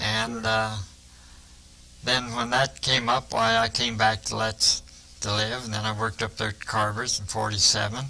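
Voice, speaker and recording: Speaking at a moderate pace, a man with a Midwestern US accent has a bright, sharp tone and a medium pitch. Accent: US Midwest. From eastern Iowa, Muscatine County. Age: 70s. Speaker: retired factory worker. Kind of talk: interview.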